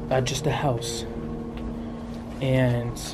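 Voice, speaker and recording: Noticeable background noise fills the recording. Over it, a man speaks. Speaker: explorer vlogger. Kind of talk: casual vlog chat. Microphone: phone near.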